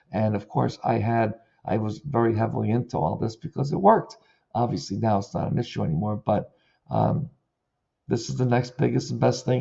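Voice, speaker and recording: Using lively intonation and some vocal fry, a man with a medium pitch speaks at a fairly quick pace. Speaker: digital marketing consultant and former florist. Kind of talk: video tutorial monologue.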